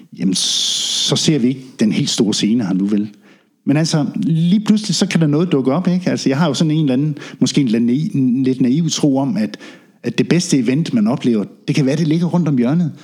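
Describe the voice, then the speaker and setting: A man with a plain, everyday voice talks fairly quickly in a fairly high pitch, with lively intonation. His loudness stays very even. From Denmark, Funen (Ringe, Midtfyn). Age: 50s. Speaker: reggae sound system DJ and drummer. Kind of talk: casual interview. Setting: in-person visit at guests' place.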